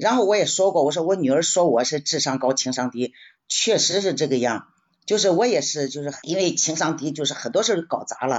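The woman's pitch is very deep and low. She speaks at a fairly quick pace. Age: 70s. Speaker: retiree book club member. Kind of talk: personal reflection sharing. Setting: live-streamed book club session. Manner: casual, conversational.

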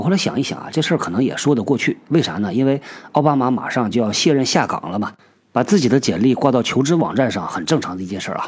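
At a very fast pace, a man with a medium-pitched voice talks with lively intonation. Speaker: podcast host on workplace topics. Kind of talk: casual monologue talk show.

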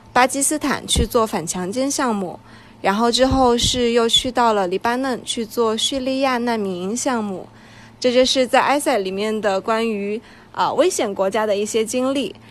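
A woman talks with a fairly high pitch, keeping a moderate tempo and ordinary pitch variation. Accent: Sichuan. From Sichuan, China. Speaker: podcast co-host. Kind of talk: casual chat.

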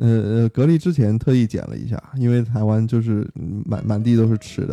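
Dry and close with no echo, a man's medium-pitched voice has a dark, mellow tone and a moderate pace. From Beijing. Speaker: returning guest. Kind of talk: casual chat. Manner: hesitant, with fillers.

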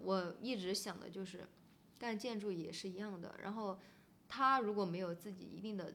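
At a moderate pace, a woman talks in a medium pitch with a normal speaking voice. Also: fairly even intonation. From Sichuan, Pixian near Chengdu. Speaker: bridge designer and photographer, gallery co-owner. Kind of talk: casual chat. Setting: in the guest's gallery space.

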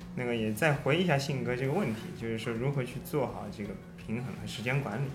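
Over music in the background, a man with a medium pitch and ordinary pitch variation talks at a very fast pace, with audible room echo. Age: 30s. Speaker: amateur runner, running mentor. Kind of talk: casual chat.

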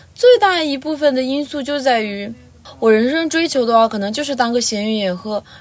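A woman's high, lively voice with music in the background. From Lhasa, Tibet. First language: Tibetan (speaking Chinese). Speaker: university student. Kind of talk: interview.

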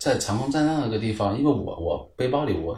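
Somewhat breathy, a man talks at a fairly quick pace with lively intonation in audible room echo. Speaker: ultimate frisbee club founder, internet worker. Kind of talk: casual chat.

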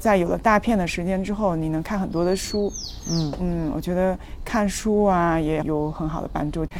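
The speech moves at a moderate pace with ordinary pitch variation and audible room echo. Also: woman, fairly low pitch for a woman. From China, Fujian. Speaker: traveller, former tech company employee. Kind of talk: casual interview chat.

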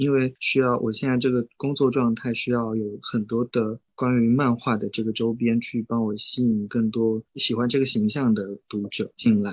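The pace is moderate. A man talks with fairly even intonation. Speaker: independent comic artist. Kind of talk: interview. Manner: gentle, soft; halting.

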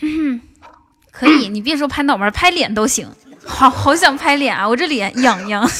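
A woman speaks at a moderate pace in a high voice, her tone animated and her intonation lively. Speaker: livestream host. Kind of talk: casual chat. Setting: livestream.

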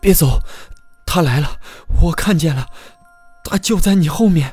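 A hoarse, put-on character voice shouts at a middle pitch and a moderate pace. Faint music plays in the background. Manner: shouting hoarsely, agitated.

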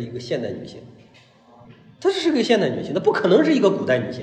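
Over noticeable background noise and audible room echo, a man talks at a very fast pace with very wide pitch swings. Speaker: art lecturer. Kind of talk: lecture. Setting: live lecture with audience. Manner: conversational, frequent rhetorical questions.

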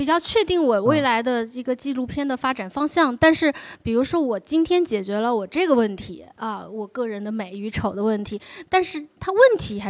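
A woman with a high voice talks at a fairly quick pace, her pitch swinging very widely. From China, Wenzhou. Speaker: documentary director. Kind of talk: live onstage conversation.

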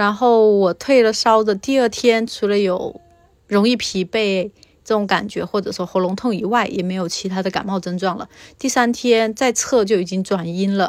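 This is an unremarkable speaking voice with fairly even intonation. It moves at a moderate pace. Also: woman, medium pitch for a woman. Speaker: interviewee sharing infection experience. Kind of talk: personal testimony.

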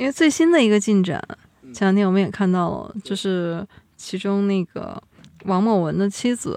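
Over a quiet background, a dark, mellow voice moves at a moderate pace with lively intonation. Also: woman, medium pitch for a woman. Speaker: podcast host. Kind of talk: casual chat.

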